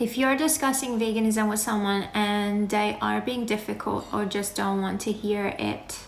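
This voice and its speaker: A woman with an Iranian accent speaks at a fairly slow pace and medium pitch, with audible room echo. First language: Farsi. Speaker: animal rights activist. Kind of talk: live Q&A. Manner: casual, conversational.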